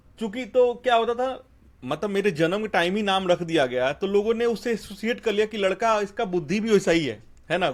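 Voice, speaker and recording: A man with a Bihari accent speaks at a moderate pace, his pitch high and his intonation lively. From India, Bhojpuri-speaking village (Bihar/eastern UP). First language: Bhojpuri (speaking Hindi). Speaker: software engineer. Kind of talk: interview, life story.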